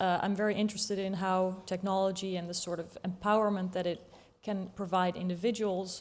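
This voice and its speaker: Speaking with a Dutch accent, a woman talks at a fairly quick pace in a medium pitch with monotone, flat intonation. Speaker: politician. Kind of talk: panel discussion.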